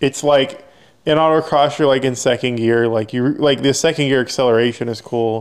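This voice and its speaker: The speaker is a man with a normal speaking voice at a medium pitch. He keeps a moderate pace and fairly even intonation. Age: 20s. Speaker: autocross driver and parts maker. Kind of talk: casual chat.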